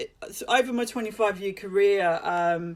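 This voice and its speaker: A woman with an Australian accent, fairly slow pace and fairly even intonation. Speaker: hair colorist and educator. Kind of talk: live presentation. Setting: social media livestream. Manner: hesitant, many fillers and repeats.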